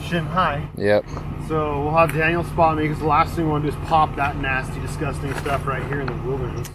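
Noticeable background noise behind a man talking at a fairly quick pace. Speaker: overland vlogger. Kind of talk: casual vlog chat. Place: forest.

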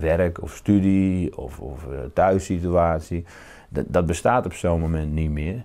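Against a quiet background, a man with a very deep, low pitch and a dark, mellow tone speaks very slowly, with big swings in loudness. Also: ordinary pitch variation. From Netherlands, northern Brabant. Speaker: novelist. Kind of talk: interview. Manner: halting, repeats words. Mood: calm, reflective. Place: home room. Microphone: lapel.

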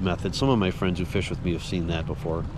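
A man with an American accent is heard in a dry sound with no echo and noticeable background noise. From Minnesota. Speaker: fishing vlogger. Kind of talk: vlog narration. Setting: outdoors on a boat in rain. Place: boat. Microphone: phone near.

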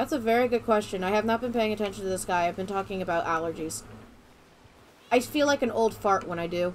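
This woman has an American accent and a medium pitch. She talks at a very fast pace. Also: ordinary pitch variation. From Florida. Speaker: gaming streamer. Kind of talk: casual chat.

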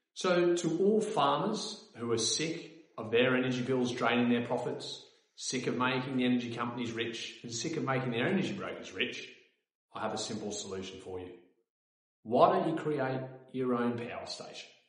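Audible room echo carries a man's voice over a quiet background. His intonation is lively. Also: moderate pace. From Australia. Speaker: company co-founder. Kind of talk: sales pitch. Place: office.

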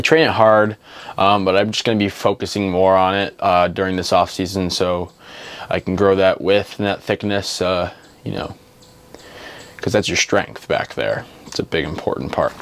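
Speaking at a moderate pace, a man has a fairly low pitch. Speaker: fitness vlogger. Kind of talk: casual vlog chat.

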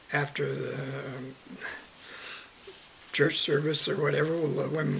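Over light background noise, a man talks in a fairly high pitch with monotone, flat intonation. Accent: Canadian prairie. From Southern Alberta, Canada. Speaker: retired farmer, oral history interviewee. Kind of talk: oral history interview answer. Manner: hesitant, halting. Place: home room. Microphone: webcam.

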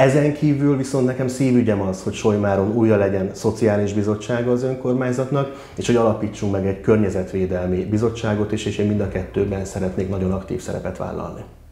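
Audible room echo surrounds a man talking at a very fast pace with a fairly low pitch. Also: ordinary pitch variation, hardly any pauses. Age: 30s. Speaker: councillor and mayoral candidate; council candidate. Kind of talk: candidate interview. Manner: hesitant, many fillers. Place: meeting room. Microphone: lapel.

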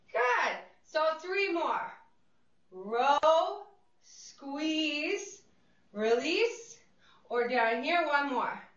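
A woman's high, upbeat voice at a very slow pace, with very wide pitch swings, long, frequent pauses and audible room echo. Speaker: fitness instructor. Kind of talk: guided group exercise class. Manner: encouraging, upbeat; brisk rhythmic cueing. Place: studio.

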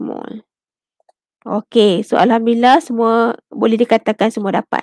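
A woman speaks very slowly at a fairly high pitch with fairly even intonation, her voice dry and echo-free against a quiet background. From Malaysia. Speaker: chemistry lecturer. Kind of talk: online tutorial lecture. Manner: code-switching Malay and English. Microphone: headset.

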